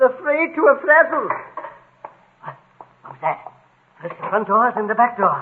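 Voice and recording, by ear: A man's put-on character voice at an extremely high pitch, with big pitch swings, a slightly husky edge and a moderate pace.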